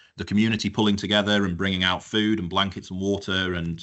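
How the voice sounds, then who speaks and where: Rattling along at a very fast pace, a man with a Yorkshire accent speaks in a very deep, low pitch with monotone, flat intonation. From northern England, North Yorkshire. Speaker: fire engineer. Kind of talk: webinar presentation. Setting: live-streamed webinar. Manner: conversational, with fillers.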